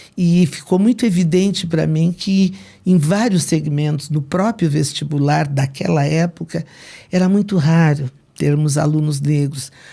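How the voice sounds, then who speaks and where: A woman with a very deep, low pitch speaks fairly slowly in a dark, mellow, somewhat breathy voice. Her loudness stays very even, and her pitch varies in an ordinary way. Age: 70s. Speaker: retired English professor. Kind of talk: interview.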